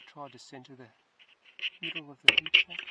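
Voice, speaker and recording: Speech moves fairly quickly. Noticeable noise sits in the background. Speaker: hunting shooter testing scope. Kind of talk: casual tutorial.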